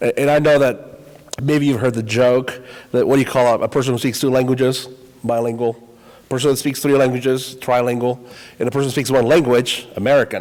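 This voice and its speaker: Speaking fairly quickly in a Spanish accent, a man holds a medium pitch with monotone, flat intonation. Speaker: high school Spanish teacher. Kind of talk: panel discussion.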